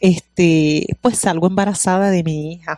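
Speaking fairly slowly with a Puerto Rican accent, a woman has a medium pitch, ordinary pitch variation and a dark, mellow tone, heard in a dry, close sound with no echo. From Puerto Rico. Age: 40s. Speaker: pastor. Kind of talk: testimony.

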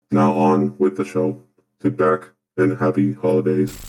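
Very deep and low in pitch, a man speaks at a moderate pace. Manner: sarcastic, dry.

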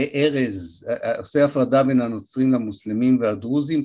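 Speaking at a moderate pace, a man uses a medium pitch and a dark, mellow tone. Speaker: historian lecturer. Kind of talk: lecture.

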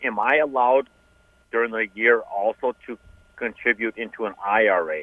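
A man talks in an unremarkable speaking voice at medium pitch. His pace is moderate and his intonation fairly even. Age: 40s. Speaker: radio caller. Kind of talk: call-in question on a finance radio show. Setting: phone call.

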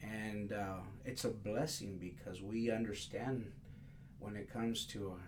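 In a room with audible echo and noticeable background noise, a man with a fairly low pitch speaks at a fairly slow pace. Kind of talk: interview conversation. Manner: halting, many fillers.

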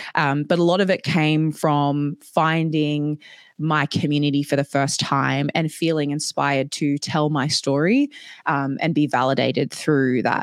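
Flat and monotone, a woman's very deep, low voice moves at a fairly slow pace with very even loudness and a dry, close sound free of echo. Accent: Australian. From Papua New Guinea and Australia. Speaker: DEI consultant and digital marketer. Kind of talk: webinar presentation. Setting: online video session with chat.

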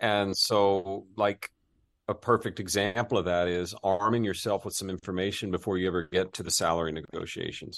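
Against a quiet background, the speaker talks at a moderate pace with fairly even intonation. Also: man, fairly low pitch for a man. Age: 50s. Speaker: executive search firm CEO and author. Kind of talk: casual interview.

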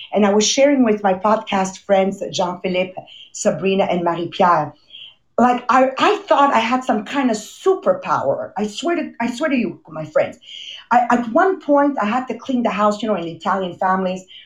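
Somewhat breathy female speech with lively intonation. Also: fairly high pitch for a woman, moderate pace. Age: 50s. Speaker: motivational podcast host. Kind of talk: motivational talk. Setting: video call. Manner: animated.

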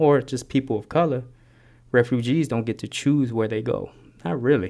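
With an American accent and an ordinary speaking voice, a man of medium pitch speaks with ordinary pitch variation in a very clean recording with a silent background. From West Oakland, California. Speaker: community youth worker. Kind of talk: guided meditation; interview.

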